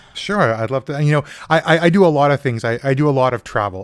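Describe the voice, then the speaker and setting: A man talks at a very fast pace with a Canadian accent. His pitch varies in an ordinary way. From Canada. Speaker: podcast co-host, business consultant and a cappella singer. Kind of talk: casual chat. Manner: halting, many repeated words.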